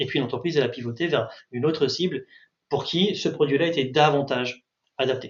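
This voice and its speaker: Somewhat breathy and fairly even in intonation, the voice moves at a fairly quick pace with long, frequent pauses. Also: man, fairly high pitch for a man. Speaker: market research consultant. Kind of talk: webinar presentation. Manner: fast.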